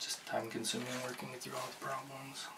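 A man speaks in a soft-spoken way at a moderate pace. Background noise is noticeable. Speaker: bookstore cashier role play. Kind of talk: ASMR roleplay. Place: home room. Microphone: studio mic.

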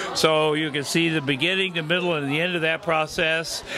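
Moderate pace from a male speaker, music playing behind him. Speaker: guest. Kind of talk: interview answer. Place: hall. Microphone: handheld.

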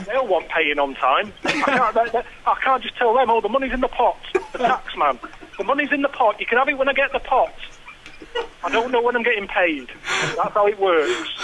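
A man projects a raised voice at an extremely high pitch and a fairly quick pace. Noticeable background noise runs underneath. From England. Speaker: comedian and radio presenter. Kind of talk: casual podcast conversation. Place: studio. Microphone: studio mic.

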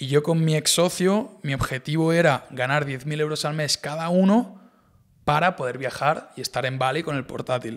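Here a man talks at a moderate pace. The background is quiet. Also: fairly high pitch for a man, ordinary pitch variation. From Spain, Barcelona; Catalonia, Spain. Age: 20s. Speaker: e-commerce entrepreneur; podcast guest. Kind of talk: casual interview chat. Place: studio. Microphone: studio mic.

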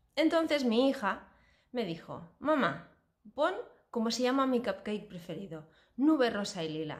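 With vocal fry and very wide pitch swings, a woman speaks at a fairly slow pace against a quiet background. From Spain. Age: 40s. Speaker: cooking YouTuber. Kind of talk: casual vlog introduction. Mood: warm, cheerful. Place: home room. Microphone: phone near.

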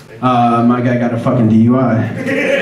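A man is speaking. Noticeable background noise and audible room echo accompany him. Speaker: stand-up comedian. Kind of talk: stand-up comedy routine. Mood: wry, crude humor. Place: stage.

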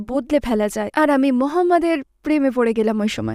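A woman's high-pitched voice, dark and mellow in tone, with lively intonation and a dry, close sound free of echo. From London, England. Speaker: journalist and writer. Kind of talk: interview testimony.

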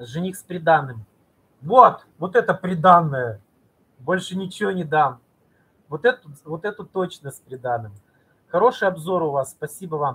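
His loudness swings widely, and his intonation is lively. This high-pitched man leaves long, frequent pauses. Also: moderate pace. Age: 40s. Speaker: video blogger and cosmetics sales representative; video blogger, cosmetics sales representative. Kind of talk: live stream talk to viewers. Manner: animated; halting. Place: home room. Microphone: webcam.

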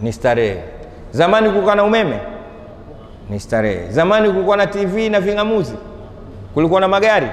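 A man's speech with long, frequent pauses and audible room echo. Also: fairly quick pace. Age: 50s. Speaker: Islamic preacher. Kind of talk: sermon. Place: hall. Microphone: lapel.

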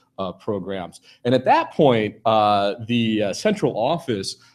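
With an unremarkable speaking voice, a man talks at a fairly low pitch with ordinary pitch variation. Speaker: keynote speaker. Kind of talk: keynote speech. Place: hall.

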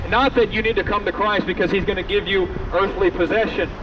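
A man speaks at a high pitch in a raised, projected voice. Noticeable background noise is present. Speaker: street preacher. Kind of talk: open-air street sermon, quoting King James scripture and urging passersby. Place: street.

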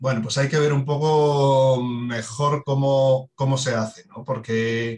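A man with a fairly high pitch and a somewhat breathy voice talks fairly slowly, his pitch varying in an ordinary way. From Asturias, Spain. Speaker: water footprint specialist. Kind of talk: podcast discussion.

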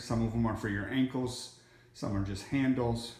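Room echo clearly audible behind a man's moderately paced speech. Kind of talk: casual vlog chat. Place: gym. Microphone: phone near.

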